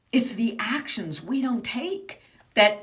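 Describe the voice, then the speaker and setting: There is noticeable background noise as a woman speaks in an animated tone. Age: 60s. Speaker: business mindset coach. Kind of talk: motivational coaching talk.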